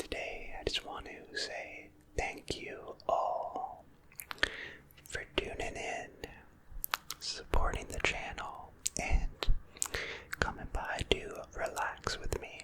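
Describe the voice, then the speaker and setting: A man whispering in a calm tone at a very slow pace, with long, frequent pauses, big swings in loudness and noticeable background noise. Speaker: ASMR creator. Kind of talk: ASMR whisper ramble. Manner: whispered; soft-spoken, calm.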